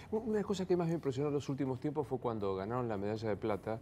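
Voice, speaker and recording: The tone is dark and mellow. Light background noise can be heard. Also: man. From Argentina. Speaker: journalist interviewer. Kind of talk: interview. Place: studio. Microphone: lapel.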